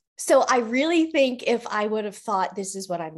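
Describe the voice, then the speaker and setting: In an ordinary speaking voice, a woman with an American accent speaks at a fairly high pitch and fairly slow pace, her intonation lively, in a very clean recording with a silent background. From Colorado, US. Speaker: leadership coach. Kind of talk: casual interview.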